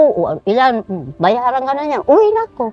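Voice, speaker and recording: A woman is speaking. Her voice is high-pitched. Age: 70s. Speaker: elderly vegetable vendor. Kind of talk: interview.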